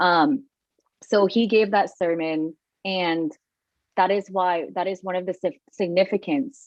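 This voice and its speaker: Speaking at a fairly slow pace with long, frequent pauses, a woman with a Thai accent uses a medium pitch and ordinary pitch variation. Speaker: meditation event co-host. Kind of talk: casual panel discussion. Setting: live online broadcast. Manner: casual, some stumbling.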